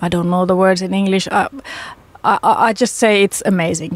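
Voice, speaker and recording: A woman with a Finnish accent, medium in pitch, at a moderate pace. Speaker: radio host. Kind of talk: casual chat. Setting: studio. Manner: halting.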